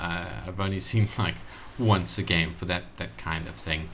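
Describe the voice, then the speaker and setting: Mumbling at a moderate pace, a man speaks in a very deep, low pitch. His intonation is lively. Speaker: game reviewer. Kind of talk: casual game review commentary. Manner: mumbling, hesitant.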